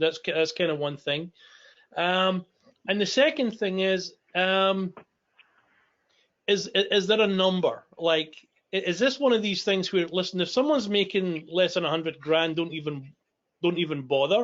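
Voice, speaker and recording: A man with a strong Scottish accent speaks at a moderate pace in a high voice, leaving long, frequent pauses. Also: ordinary pitch variation. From Scotland. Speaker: business owner asking questions. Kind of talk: live Q&A discussion. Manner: halting, repeats words.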